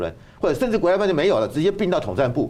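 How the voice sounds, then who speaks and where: A man's dark, mellow tone at a very fast pace, with very wide pitch swings. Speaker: university professor and political commentator. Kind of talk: political talk show discussion. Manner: hesitant, with frequent fillers.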